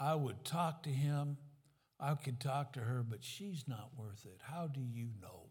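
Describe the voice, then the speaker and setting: A man speaks at a fairly slow pace, somewhat breathy, with ordinary pitch variation. His loudness swings widely. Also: medium pitch for a man. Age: 70s. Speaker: pastor. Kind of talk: sermon.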